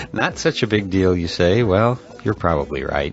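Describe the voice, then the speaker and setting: Music plays behind the speaker. He is a man with a very deep, low voice. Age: 60s. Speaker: podcast host. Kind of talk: podcast monologue. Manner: hesitant, many filler uh's; playful.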